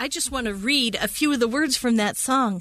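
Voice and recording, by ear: Against a quiet background, a woman with a plain, everyday voice speaks at a moderate pace with lively intonation.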